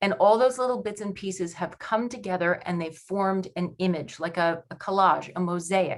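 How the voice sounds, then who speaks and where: A woman with an American accent speaks in an unremarkable speaking voice at a medium pitch, with ordinary pitch variation and hardly any pauses. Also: moderate pace. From New York. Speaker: panelist, working-parent coach. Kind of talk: webinar presentation.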